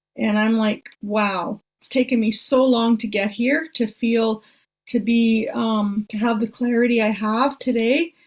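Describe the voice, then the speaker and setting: A woman speaks in a fairly high, somewhat breathy voice. Her intonation stays fairly even. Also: fairly slow pace, very clean recording, silent background. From northern Ontario, Canada. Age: 60s. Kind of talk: casual conversation.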